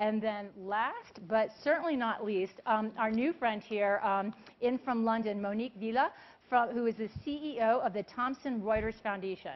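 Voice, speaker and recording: A woman speaks in a fairly high voice. Her pace is moderate and her pitch variation ordinary. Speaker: panel moderator. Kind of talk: moderated panel discussion. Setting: stage with audience. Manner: animated. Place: stage. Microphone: lapel.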